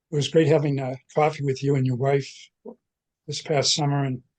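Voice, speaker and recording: A man's somewhat breathy, dark and mellow voice, fairly high in pitch, at a moderate pace, with a dry, close sound and no echo. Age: 80s+. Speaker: Irish folk musician. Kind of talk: interview. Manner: halting.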